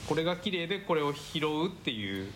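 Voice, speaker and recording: A man speaks at a fairly slow pace with a fairly high pitch. His pitch swings very widely, and the room echo is audible. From Tokyo, Japan. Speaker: buyer and curator. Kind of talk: casual chat.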